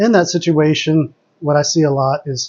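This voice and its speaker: A soft-spoken man with a fairly high pitch and ordinary pitch variation. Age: adult. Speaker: chess streamer. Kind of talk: live commentary.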